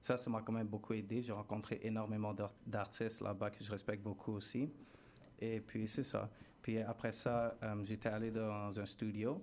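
This man's fairly low voice stays monotone and flat as he goes at a moderate pace. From Montreal West Island, Haitian family. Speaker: musician. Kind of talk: radio interview. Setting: radio studio.

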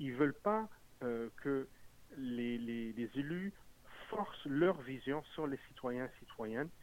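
The man's delivery is very slow, broken by long, frequent pauses. His volume rises and falls in big swings. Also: medium pitch for a man, lively intonation. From Montreal. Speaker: municipal politician. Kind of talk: political interview.

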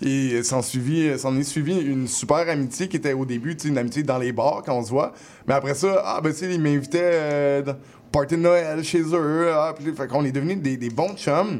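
An ordinary speaking voice from a man, fairly high in pitch with ordinary pitch variation. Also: moderate pace. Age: 30s. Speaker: rapper. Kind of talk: casual interview. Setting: radio studio.

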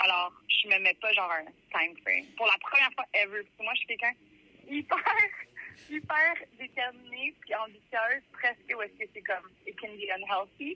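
A woman with a fairly high pitch and lively intonation talks at a moderate pace, her loudness swinging widely. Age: 30s. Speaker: musician. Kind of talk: interview.

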